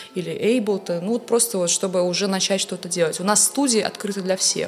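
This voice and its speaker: Against noticeable background noise, a woman talks at a fairly quick pace, her medium pitch showing ordinary variation. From Russia, Saint Petersburg. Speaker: music professor and composer. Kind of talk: casual interview chat. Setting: studio.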